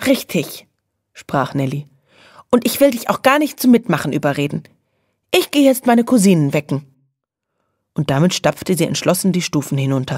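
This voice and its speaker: At a moderate pace with long, frequent pauses, a woman speaks at a fairly low pitch with very wide pitch swings, on a very clean recording with a silent background. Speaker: audiobook narrator. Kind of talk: children's audiobook reading.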